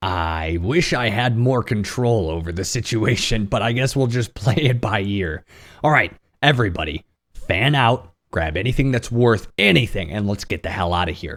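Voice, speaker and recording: A man's raspy, put-on character voice, fairly low in pitch, with lively intonation at a moderate pace. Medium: actual play. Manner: pragmatic, direct.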